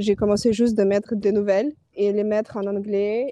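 A woman with a Ukrainian accent speaks at a moderate pace in a medium pitch, her dark, mellow tone flat and monotone in a dry, close recording with no echo. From Ukraine. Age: 20s. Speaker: advertising producer. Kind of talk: testimony. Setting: phone call. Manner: halting.

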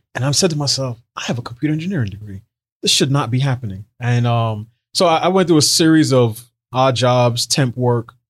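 A man's somewhat breathy voice at a fairly quick pace, with ordinary pitch variation, in a very clean recording with a silent background. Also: medium pitch for a man. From New York City, Barbadian immigrant parents. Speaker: social policy writer and commentator. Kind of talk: interview conversation.

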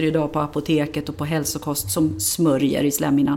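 Her speech moves at a fairly quick pace, and she is a woman. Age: 50s. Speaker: dentist and dental researcher. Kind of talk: interview. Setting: on site at a dental clinic.

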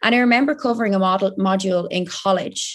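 A woman speaks at medium pitch with an Irish accent. The background is quiet. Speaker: online fitness and nutrition coach. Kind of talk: casual interview chat. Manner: animated.

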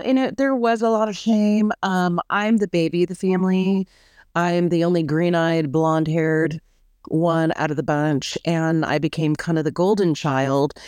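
A woman with an American accent has an ordinary speaking voice at a fairly low pitch and a moderate pace, recorded in a dry, close sound with no echo against a quiet background. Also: ordinary pitch variation. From Orange County, California. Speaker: guest telling her story. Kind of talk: personal testimony interview.

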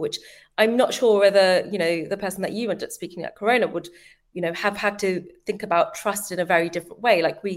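A woman with a London accent talks at medium pitch with ordinary pitch variation. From East London, England. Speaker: marketing leader. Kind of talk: interview conversation. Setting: video call.

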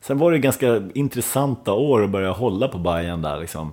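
With a dark, mellow tone, this man keeps to a moderate pace. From Sweden, Dalarna (Ludvika). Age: 40s. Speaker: musician. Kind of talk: casual chat.

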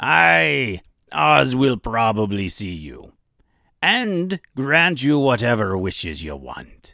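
In a put-on character voice, a man speaks at a very slow pace and fairly low pitch with very wide pitch swings, on a very clean recording with a silent background.

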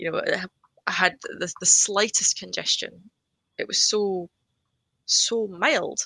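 This woman speaks very slowly with a Scottish accent, leaving long, frequent pauses, in a dry, close sound with no echo. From Scotland, Edinburgh. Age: 30s. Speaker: COVID patient. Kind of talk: testimony.

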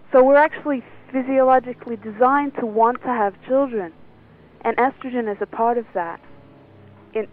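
A woman's fairly high voice with ordinary pitch variation, music playing behind her. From England. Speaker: women's health expert. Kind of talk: interview.

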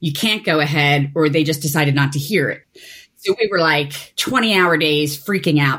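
At a moderate pace, a woman speaks in a very deep, low pitch with a Philadelphia accent. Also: ordinary pitch variation. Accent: Philadelphia American. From US, Philadelphia. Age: 40s. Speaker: activist. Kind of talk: interview.

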